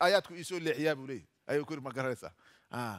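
Talking at a fairly quick pace with ordinary pitch variation, a man is heard over a quiet background. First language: Somali (speaking Arabic). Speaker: Islamic preacher teaching Quran exegesis. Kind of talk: Quran tafsir lecture. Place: hall. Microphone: headset.

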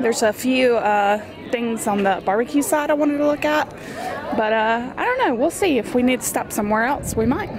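A woman talks at a fairly quick pace, her pitch high and her intonation lively. Noticeable background noise runs under her voice. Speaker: travel vlogger. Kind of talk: casual vlog chat. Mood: enthusiastic about food. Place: street. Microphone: phone near.

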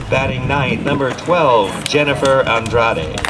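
Noticeable background noise sits behind a man talking at a fairly slow pace. His pitch varies in an ordinary way. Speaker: stadium announcer. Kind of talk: lineup announcement. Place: stadium.

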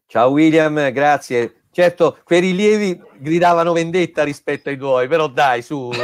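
Ordinary pitch variation marks a man's fairly slow speech. Nothing stirs in the background. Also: fairly high pitch for a man. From central Italy, Camerino area (Marche); Marche, Italy. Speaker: engineer, webinar speaker; webinar speaker. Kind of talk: webinar closing remarks. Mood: friendly, joking. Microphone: video call.

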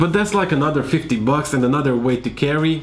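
Faint music sounds in the background. Over it, a man speaks at a fairly quick pace. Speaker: tech vlogger. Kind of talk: tutorial. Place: home room.

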